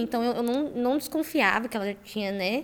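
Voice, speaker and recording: A woman with a normal speaking voice talks fairly high, her pitch varying in an ordinary way. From Campo Grande, Mato Grosso do Sul, Brazil. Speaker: startup founder, engineer. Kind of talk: podcast interview.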